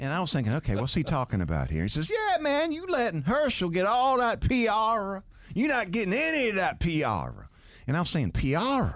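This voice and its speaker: A man with a Southern US accent talks at a very even loudness. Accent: Southern US (South Georgia). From US South, Valdosta, Georgia. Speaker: sports radio host and former quarterback. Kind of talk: casual interview chat.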